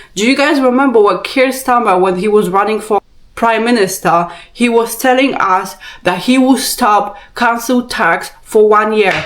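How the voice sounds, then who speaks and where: A woman with a Polish accent speaks at a moderate pace in a fairly high pitch, with an animated tone, ordinary pitch variation and very even loudness, amid noticeable background noise and audible room echo. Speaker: vlogger. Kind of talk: rant.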